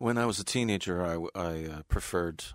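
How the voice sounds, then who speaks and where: In a very clean recording with a silent background, a man with a very deep, low pitch speaks at a very slow pace. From California, US. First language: English (speaking Russian). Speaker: tribute band bassist and keyboardist. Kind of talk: radio interview.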